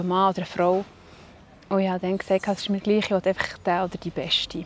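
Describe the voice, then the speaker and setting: A medium-pitched woman with monotone, flat intonation. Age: 40s. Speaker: breast cancer survivor, office assistant. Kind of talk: interview, personal story. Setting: outdoors by a lake.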